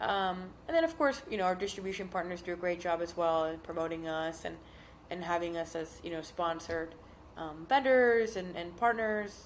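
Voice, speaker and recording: A woman with an ordinary speaking voice and an American accent talks at a moderate pace and medium pitch with ordinary pitch variation. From South Florida. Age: 30s. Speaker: company executive. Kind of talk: casual chat.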